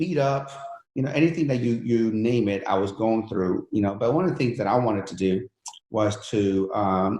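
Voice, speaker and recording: With a somewhat breathy, medium-pitched voice, a man talks at a moderate pace and ordinary pitch variation. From Iran, raised from 11 in Pennsylvania. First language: Persian. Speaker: entrepreneur and fitness coach. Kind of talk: interview storytelling. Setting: podcast interview. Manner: animated, many fillers.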